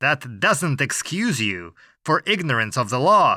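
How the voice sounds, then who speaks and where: A man uses a put-on character voice, fairly high in pitch with very wide pitch swings. He speaks at a fairly slow pace in a very clean, dry, close recording with a silent background and no echo. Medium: read story. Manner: dry, weary, lawyerly.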